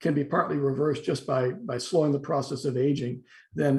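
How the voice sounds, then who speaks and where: The pace is very fast. The voice is somewhat breathy. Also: man. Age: 60s. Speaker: philosophy professor. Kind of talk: interview discussion. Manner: halting with repetitions.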